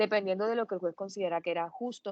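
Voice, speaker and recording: A woman's medium-pitched voice with ordinary pitch variation, in a dry, close sound with no echo. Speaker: law lecturer. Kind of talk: lecture. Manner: hesitant with fillers.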